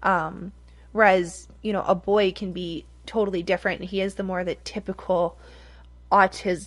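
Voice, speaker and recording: A woman with an American accent talks at a moderate pace with vocal fry and monotone, flat intonation. The recording is very clean, with a silent background. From Michigan. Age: 30s. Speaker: podcast host. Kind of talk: casual chat.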